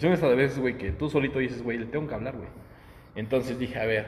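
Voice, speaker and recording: A man's voice at a medium pitch, with ordinary pitch variation and audible room echo. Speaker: podcast co-host. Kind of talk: casual chat.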